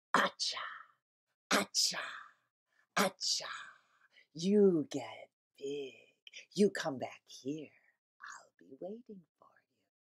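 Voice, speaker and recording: A female-sounding put-on character voice at medium pitch moves at a very slow pace, broken by long, frequent pauses. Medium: read story. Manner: greedy, threatening.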